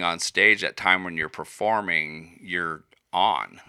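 A man's very deep, low pitch with ordinary pitch variation and a bright, sharp tone, in a dry, close sound with no echo on a very clean recording with a silent background. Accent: Midwestern US. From Iowa. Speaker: musician and woodworker. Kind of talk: casual chat.

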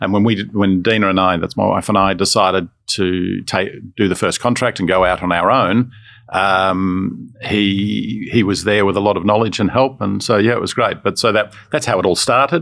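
In an Australian accent, a man with a fairly low pitch speaks at a moderate pace, his loudness very even and his intonation fairly even. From Australia, Melbourne. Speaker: business owner. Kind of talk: interview.

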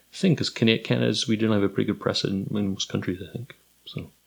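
A man talks at a fairly quick pace with vocal fry. His pitch sits fairly low. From Kingston, Ontario. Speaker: history professor. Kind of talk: casual chat. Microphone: too far from mic.

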